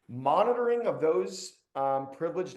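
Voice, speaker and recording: With a Cleveland accent, a man talks with ordinary pitch variation. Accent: Cleveland, Ohio. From Cleveland, Ohio, US Midwest. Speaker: webinar host, cybersecurity executive. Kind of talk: webinar presentation. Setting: online webinar. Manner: casual, conversational.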